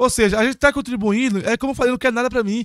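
Recorded against a quiet background, the man's voice sounds dry, with no echo. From Brazil, Bom Jesus; Brazil. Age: 30s. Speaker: city councillor. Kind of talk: casual chat. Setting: studio. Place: studio. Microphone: studio mic.

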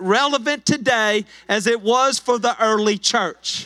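A man talks fairly slowly in a raised, projected voice with a bright, sharp tone and ordinary pitch variation. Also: quiet background. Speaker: pastor. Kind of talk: sermon. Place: church. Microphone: handheld.

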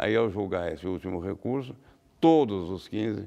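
Lively intonation and vocal fry mark this fairly slow delivery. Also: man. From Brazil, São Paulo state (Guaratinguetá); São Paulo state, Brazil. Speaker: law professor and lawyer; law professor, lawyer. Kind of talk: interview. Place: studio. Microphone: lapel.

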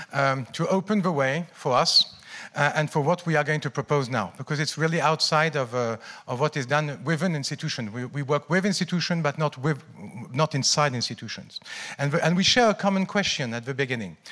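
Over a quiet background, the voice has a bright, sharp tone, a fairly quick pace and ordinary pitch variation. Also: man. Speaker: keynote speaker. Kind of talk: conference talk. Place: hall. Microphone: handheld.

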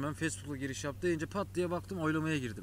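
Recorded dry with no echo and light background noise, a man speaks in a fairly high voice with vocal fry. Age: 20s. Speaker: YouTuber. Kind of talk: casual chat. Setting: home, with brother. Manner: casual, laughing. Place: waterside.

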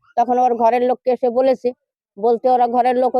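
A woman with a high pitch and a dark, mellow tone speaks in a monotone, flat intonation, the sound dry and close with no echo. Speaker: grandmother of rescued man. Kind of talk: news interview.

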